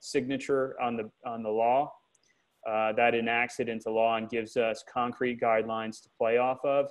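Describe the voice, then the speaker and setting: A man talks at a moderate pace and medium pitch. His intonation is monotone and flat. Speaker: government agency official. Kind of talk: webinar Q&A. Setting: video call. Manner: many filler words.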